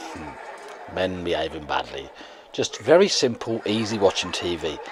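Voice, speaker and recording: A man speaks with an English accent at a fairly slow pace. Noticeable background noise runs underneath. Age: 40s. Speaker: vlogger. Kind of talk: casual vlog monologue.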